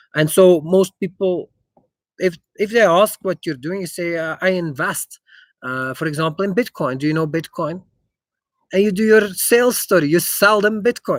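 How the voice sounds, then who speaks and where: A man with a slight Dutch accent, high-pitched, at a moderate pace. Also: ordinary pitch variation, dry, close sound with no echo. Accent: slight Germanic (Dutch) accent in English. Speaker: investor. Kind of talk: live stream Q&A. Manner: halting, many fillers.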